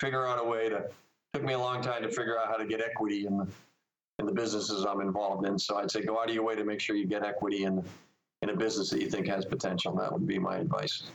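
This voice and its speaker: The speech is very fast, with fairly even intonation and very even loudness. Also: man, fairly low pitch for a man. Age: 60s. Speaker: software company executive. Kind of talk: interview.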